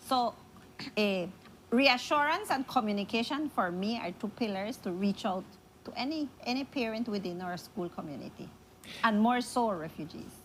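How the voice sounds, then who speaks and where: A woman speaks at a fairly high pitch and a moderate pace with lively intonation. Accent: Spanish. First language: Spanish. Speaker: school principal. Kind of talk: interview.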